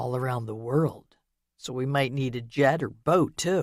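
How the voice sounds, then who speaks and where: A man puts on a character voice at a medium pitch. He keeps a moderate pace with ordinary pitch variation. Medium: read story.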